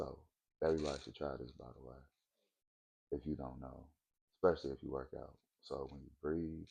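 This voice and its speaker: Soft-spoken and at a moderate pace, a man with a very deep, low pitch and a dark, mellow tone uses fairly even intonation with vocal fry. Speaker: vlogger. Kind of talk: casual monologue vlog.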